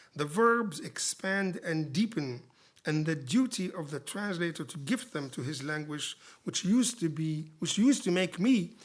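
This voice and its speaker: Someone speaks at a moderate pace in an Arabic accent. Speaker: poet and literary translator giving a lecture. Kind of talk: lecture. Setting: lecture theatre with audience. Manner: formal.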